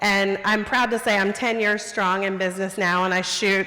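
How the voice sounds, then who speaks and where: Through noticeable background noise, a woman of medium pitch speaks at a moderate pace. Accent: American. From US South. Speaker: photographer. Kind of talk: storytelling talk.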